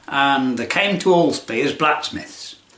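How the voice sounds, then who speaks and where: With a Lincolnshire accent, a man speaks at a very slow pace with lively intonation amid audible room echo. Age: 70s. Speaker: retired tradesman video maker. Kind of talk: casual chat. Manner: rambling conversational, halting.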